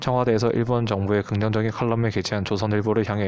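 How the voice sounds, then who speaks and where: A man with a fairly low voice talks at a very fast pace in a monotone, flat delivery. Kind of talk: explainer narration on current affairs.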